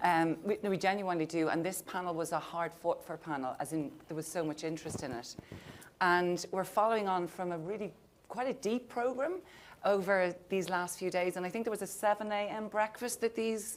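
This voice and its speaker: Speaking at a fairly quick pace, a woman with an Irish accent uses a medium pitch. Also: ordinary pitch variation. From Ireland. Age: 50s. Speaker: panel moderator. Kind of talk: panel discussion. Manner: animated.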